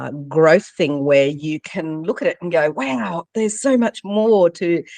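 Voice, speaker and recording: With lively intonation and a moderate pace, a woman with an unremarkable speaking voice is heard in a dry, close sound with no echo. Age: 50s. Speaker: leadership coach and author. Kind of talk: interview.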